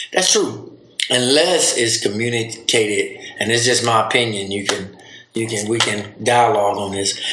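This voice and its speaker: A man with a Southern US accent speaks over noticeable background noise, with audible room echo. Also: medium pitch for a man, fairly even intonation, moderate pace. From US South. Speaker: podcast host, father. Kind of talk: casual chat.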